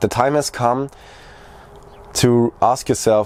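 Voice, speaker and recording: Speaking with a German accent, a man has a dark, mellow tone at medium pitch. His pace is fairly slow. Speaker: video creator. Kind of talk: personal vlog monologue. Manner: halting.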